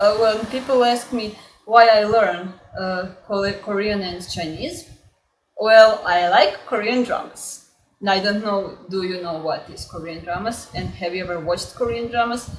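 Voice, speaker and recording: A woman of medium pitch talks at a fairly slow pace, with ordinary pitch variation and big swings in loudness. Audible room echo surrounds her voice. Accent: Croatian. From Croatia. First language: Croatian. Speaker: language learning YouTuber. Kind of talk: casual vlog introduction. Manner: halting, many filler words.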